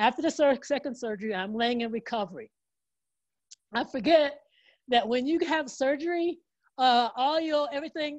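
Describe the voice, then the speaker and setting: Against a quiet background, a woman with a high pitch speaks in an animated tone, leaving long, frequent pauses. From Oklahoma. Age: 60s. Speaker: motivational speaker and motorcyclist. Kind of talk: motivational talk. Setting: video call. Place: home room. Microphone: earbuds.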